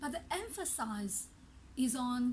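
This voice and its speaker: With lively intonation and a high pitch, a woman speaks at a very slow pace amid audible room echo. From China. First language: not English (Chinese dialect; Mandarin third language). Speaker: language teacher. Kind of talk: tutorial.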